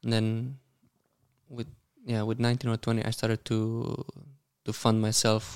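With a Romanian accent, a man speaks at a moderate pace in a monotone, flat intonation. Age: 30s. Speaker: professional tennis player. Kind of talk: casual interview.

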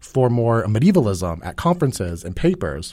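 On a very clean recording with a silent background, a man speaks in a somewhat breathy voice with very wide pitch swings. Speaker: podcast host and PhD student. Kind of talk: casual chat. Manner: casual, sometimes halting.

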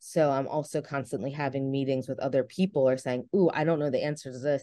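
With a New Jersey accent, a woman speaks fairly quickly in a very deep, low, dark and mellow voice with fairly even intonation against a quiet background. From New Jersey, near Philadelphia. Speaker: research scientist and assistant professor. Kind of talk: casual interview. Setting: video call.

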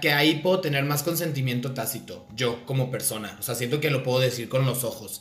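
Over music in the background, a man speaks at a moderate pace with audible room echo. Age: 30s. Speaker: podcast host and content creator. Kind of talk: casual chat.

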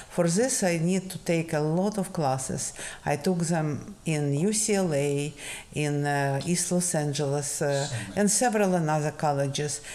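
This woman's voice sits very deep and low, with a dark, mellow tone. She talks at a fairly slow pace. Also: ordinary pitch variation. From Ukraine. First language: Russian. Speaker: retired scientist, immigrant guest. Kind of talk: interview.

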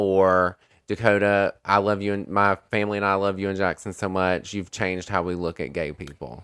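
A plain, everyday voice at a moderate pace with fairly even intonation, in a very clean recording over a silent background. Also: man, fairly low pitch for a man. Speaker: social media content creator. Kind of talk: casual chat.

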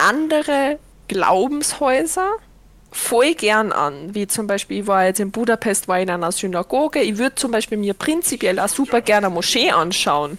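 A woman speaks at a moderate pace in a Viennese accent, her fairly high voice animated in tone with lively intonation. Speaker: podcast host and streamer. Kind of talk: casual chat.

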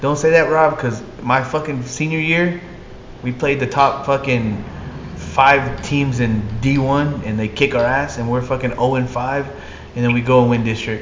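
With a Texan accent, a man of medium pitch talks at a moderate pace with ordinary pitch variation, amid noticeable background noise and audible room echo. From Texas. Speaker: sports talk show co-host. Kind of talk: casual chat.

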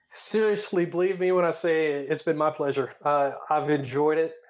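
A man speaks with a Tennessee accent. His pace is moderate and his intonation fairly even. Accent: Southern US (Tennessee). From Tennessee, near Chattanooga. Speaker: air force veteran and wrestling history researcher. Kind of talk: casual interview.

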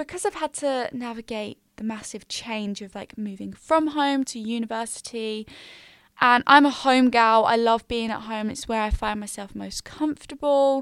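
Speaking at a moderate pace with an English accent, a woman has fairly high pitch, ordinary pitch variation and big swings in loudness. The sound is dry and close with no echo, very clean, over a silent background. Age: 20s. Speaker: podcast host and university student. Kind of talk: casual solo chat.

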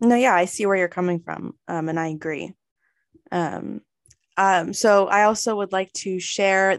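An unremarkable speaking voice with an American accent and fairly even intonation, over a quiet background. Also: woman. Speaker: student podcast interviewer. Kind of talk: interview.

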